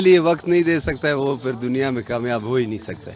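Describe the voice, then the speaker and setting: Over noticeable background noise, a man speaks at a medium pitch with ordinary pitch variation. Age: 60s. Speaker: retired telecom director, yoga practitioner. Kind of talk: interview.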